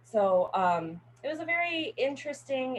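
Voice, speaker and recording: Amid noticeable background noise, a woman with an American accent speaks with very wide pitch swings. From Northern California. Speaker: college student. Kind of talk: class speech. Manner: casual, filler-heavy.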